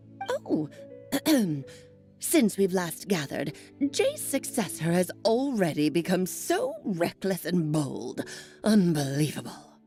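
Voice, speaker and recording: Clear music plays behind a put-on character voice. The pace is fairly slow, with long, frequent pauses. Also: woman, fairly low pitch for a woman. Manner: haughty, scolding.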